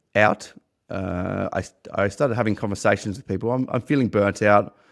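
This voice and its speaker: The speaker, in an Australian accent, moves at a fairly quick pace with fairly even intonation. The sound is dry and close with no echo, the recording very clean against a silent background. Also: man. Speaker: podcast host and business owner. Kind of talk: personal testimony monologue. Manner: halting, many repeated words.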